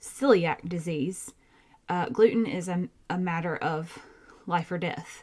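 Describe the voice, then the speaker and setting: A woman speaks in a Southern US accent with a fairly low pitch. Her pace is very slow. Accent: Southern twang. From Georgia, US South. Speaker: podcast host, nurse practitioner. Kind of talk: casual educational podcast talk. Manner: animated.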